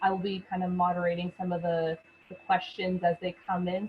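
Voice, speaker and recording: A woman's medium-pitched voice with a Canadian accent at a moderate pace. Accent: non-British, Canadian. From Canada. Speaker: university recruitment manager. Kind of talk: online information session. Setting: video webinar from home.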